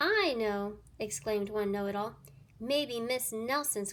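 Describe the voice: Someone is reading aloud in a plain manner. The pitch moves in an ordinary way.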